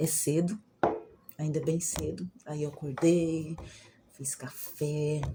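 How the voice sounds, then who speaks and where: Her voice is very deep and low in pitch, somewhat breathy, with a dark, mellow tone. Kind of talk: casual vlog talk. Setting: at home. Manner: soft-spoken, quieter than usual.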